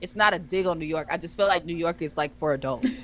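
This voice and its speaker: Noticeable background noise accompanies a woman speaking in an animated tone. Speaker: podcast co-host. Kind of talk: casual chat. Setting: live stream. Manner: loud.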